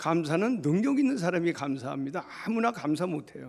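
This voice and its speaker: The speech comes at a fairly slow pace. The recording is very clean, with a silent background. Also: man. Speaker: pastor. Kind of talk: funeral sermon. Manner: loud.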